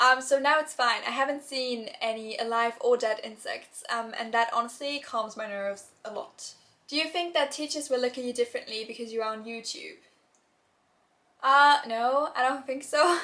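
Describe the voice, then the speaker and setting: Speaking with a German accent, a woman has a high pitch, a bright, sharp tone, ordinary pitch variation and a moderate pace. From Germany. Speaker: YouTuber, university student. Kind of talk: Q&A vlog. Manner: casual, many filler words.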